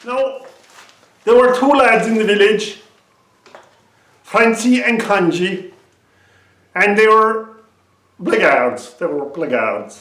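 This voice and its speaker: Using lively intonation, a man with an Irish accent speaks at a very slow pace. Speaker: storyteller. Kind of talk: traditional storytelling.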